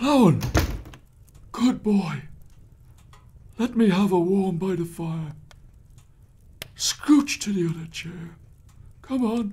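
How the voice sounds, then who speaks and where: Putting on a character voice, a man talks fairly slowly in a high pitch, with lively intonation and long, frequent pauses. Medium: audio drama. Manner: agitated, paranoid.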